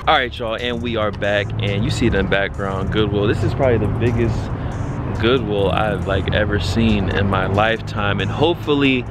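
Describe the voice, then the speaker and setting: Music plays in the background as the speaker talks at a moderate pace with hardly any pauses, ordinary pitch variation, and a dry sound with no echo. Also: man. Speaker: sneaker vlogger. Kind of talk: casual vlog chat. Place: street. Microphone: phone near.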